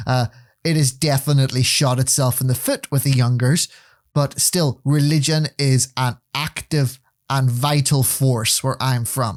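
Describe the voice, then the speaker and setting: At a fairly slow pace, a man with a Northern Irish accent speaks at medium pitch with monotone, flat intonation and very even loudness, in a dry, close sound with no echo. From Northern Ireland. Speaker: podcast co-host. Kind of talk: casual chat.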